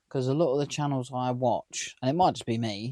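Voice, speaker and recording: The man's tone is dark and mellow. The sound is dry and close, with no echo. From near London, England. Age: 30s. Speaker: vlogger. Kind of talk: casual vlog talk to camera.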